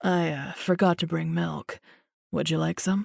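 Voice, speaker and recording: A woman uses a raspy, put-on character voice in a calm, warm tone at a moderate pace. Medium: read story.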